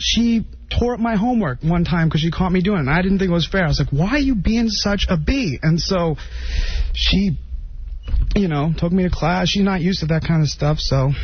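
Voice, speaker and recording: The speaker mumbles at a fairly quick pace. Background noise is noticeable. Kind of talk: solo radio monologue. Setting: radio studio. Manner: rambling, mumbling; halting.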